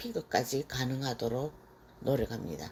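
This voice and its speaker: A woman's very deep, low voice with a dark, mellow tone, at a fairly slow pace. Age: 60s. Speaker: stained glass instructor, retired teacher. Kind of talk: scripted self-introduction vlog.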